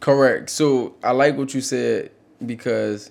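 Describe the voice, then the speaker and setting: A man of medium pitch speaks in a monotone, flat intonation with an American accent. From US South, New Orleans. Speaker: clothing brand owner, podcast co-host. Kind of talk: casual business advice chat.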